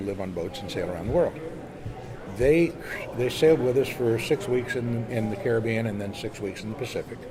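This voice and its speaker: The voice moves at a fairly quick pace with ordinary pitch variation, amid noticeable background noise and audible room echo. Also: man. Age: 70s. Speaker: sailor and magazine publisher. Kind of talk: casual interview. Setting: boat show. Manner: animated storytelling.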